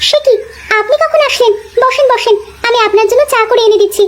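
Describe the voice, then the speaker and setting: A woman talks at a very fast pace in a cartoonish character voice. It is squeaky and extremely high in pitch. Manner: soft, polite.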